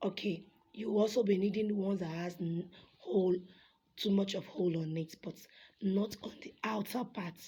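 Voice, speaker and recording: A woman at medium pitch, somewhat breathy, with fairly even intonation, a moderate pace and long, frequent pauses. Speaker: fashion designer. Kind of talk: tutorial.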